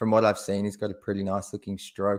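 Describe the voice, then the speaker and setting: A man with an Australian accent speaks at a fairly low pitch on a very clean recording with a silent background. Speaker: basketball podcast co-host. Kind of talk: casual chat.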